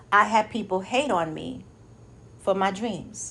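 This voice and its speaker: A woman with vocal fry and an animated tone. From New York City, Lower East Side. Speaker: motivational speaker and life coach. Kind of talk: motivational talk.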